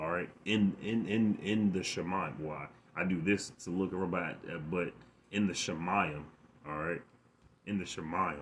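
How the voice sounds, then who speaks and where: A man with a very deep, low pitch talks at a moderate pace, with long, frequent pauses. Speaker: bible teacher. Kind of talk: religious lesson. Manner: animated; stuttering, repetitive.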